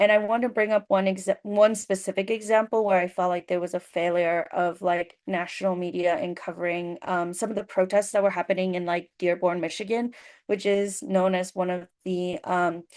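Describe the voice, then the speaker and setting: Over a quiet background, a woman at medium pitch uses a normal speaking voice with fairly even intonation, a moderate pace and hardly any pauses. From US immigrant community. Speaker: journalist panelist. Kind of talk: panel discussion. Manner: many fillers and restarts.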